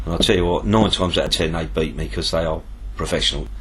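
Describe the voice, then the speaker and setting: A man with a southern English accent talks at a very fast pace amid noticeable background noise and audible room echo. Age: 60s. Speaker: tackle shop owner and angler. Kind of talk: interview. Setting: tackle shop.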